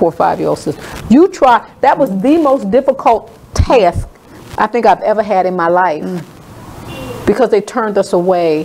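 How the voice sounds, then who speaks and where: A woman's voice with lively intonation and a moderate pace over noticeable background noise. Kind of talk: personal story recounting a childhood memory in a radio interview.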